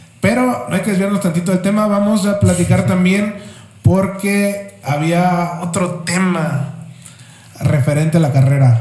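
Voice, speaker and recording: Speaking at a fairly slow pace in a Mexican accent, a man uses a high pitch with ordinary pitch variation, amid noticeable background noise and audible room echo. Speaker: motorsport podcast co-host. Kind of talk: casual chat.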